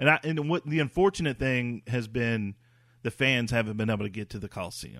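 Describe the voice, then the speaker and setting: On a very clean recording with a silent background, there is an ordinary speaking voice going at a fairly quick pace. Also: man, medium pitch for a man, ordinary pitch variation, dry, close sound with no echo. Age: 40s. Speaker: podcast host. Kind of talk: casual sports talk.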